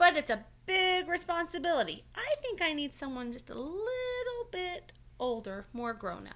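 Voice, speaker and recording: A woman in a put-on character voice speaks at an extremely high pitch with very wide pitch swings and hardly any pauses. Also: moderate pace. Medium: read story.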